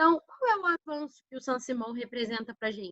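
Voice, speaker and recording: A woman speaks in a bright, sharp tone with very wide pitch swings. The sound is dry and close, with no echo. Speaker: schoolteacher. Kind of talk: online lesson (remote class review). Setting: recording from home. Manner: warm, informal.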